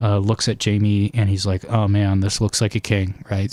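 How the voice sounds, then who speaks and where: This quiet man talks at a moderate pace in a fairly low pitch, on a very clean recording with a silent background. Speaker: fantasy book theory streamer. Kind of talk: live stream chat. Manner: hesitant, many fillers.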